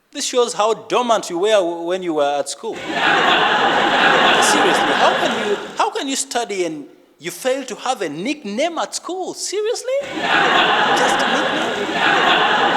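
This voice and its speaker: A man speaks very slowly with a Ugandan accent, his pitch extremely high and swinging very widely. Noticeable background noise sits behind him. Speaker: stand-up comedian. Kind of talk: live stand-up comedy set.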